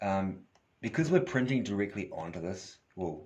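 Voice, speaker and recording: With a New Zealand accent, a man speaks in a fairly low pitch with ordinary pitch variation. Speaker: crafter. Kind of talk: tutorial. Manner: casual, hesitant with fillers.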